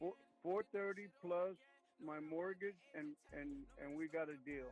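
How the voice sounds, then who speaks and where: With music playing in the background, a man speaks at a moderate pace, his pitch high with ordinary variation. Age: 70s. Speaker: homeowner seller. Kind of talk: phone negotiation.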